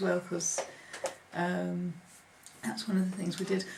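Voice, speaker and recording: With audible echo from the room and noticeable background noise, a woman speaks at a moderate speed. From northern England, Preston, Lancashire. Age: 50s. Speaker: oral history interviewee. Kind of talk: oral history interview. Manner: hesitant, with frequent ums.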